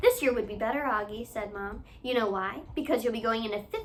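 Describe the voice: Someone does plain reading aloud here.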